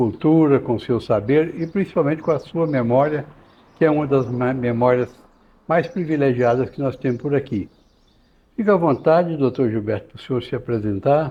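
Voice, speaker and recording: A man's voice, fairly high in pitch, with ordinary pitch variation. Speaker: podcast host. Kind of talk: podcast interview. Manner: halting.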